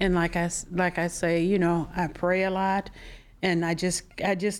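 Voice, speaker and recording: Recorded very cleanly against a silent background, a woman with an American accent speaks at a medium pitch and a moderate pace. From US Midwest, Flint, Michigan. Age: 60s. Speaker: cancer patient. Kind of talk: interview. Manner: halting.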